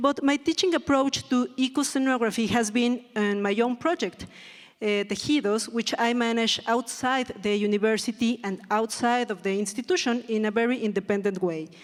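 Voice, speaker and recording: A woman speaks with a fairly high pitch. Her pitch variation is ordinary. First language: Spanish. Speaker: theatre design educator. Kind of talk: reading aloud. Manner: slow; halting.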